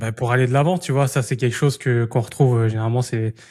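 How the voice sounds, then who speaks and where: Talking at a very fast pace, a man with a medium pitch and somewhat breathy voice keeps his intonation fairly even on a very clean recording with a silent background. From Île-de-France, France. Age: 20s. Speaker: podcast host and entrepreneur. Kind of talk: casual interview chat. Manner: casual, many hesitations.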